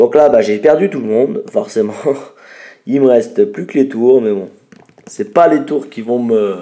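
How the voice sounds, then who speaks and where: Taking long, frequent pauses, a man talks at a fairly slow pace with very wide pitch swings. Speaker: gaming youtuber. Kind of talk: gameplay commentary.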